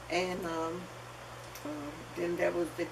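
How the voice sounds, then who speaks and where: A woman with a Southern US accent talks at a fairly slow pace in a fairly low voice, with noticeable background noise and audible room echo. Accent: Southern US (Georgia). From US South, Athens, Georgia. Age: 80s+. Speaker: oral history interviewee. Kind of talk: oral history interview.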